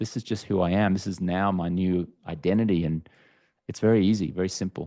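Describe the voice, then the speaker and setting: A man with an Australian accent, a very deep, low pitch and a dark, mellow tone, at a fairly quick pace with fairly even intonation against a quiet background. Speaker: entrepreneur and author, alcohol-free coach. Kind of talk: podcast interview.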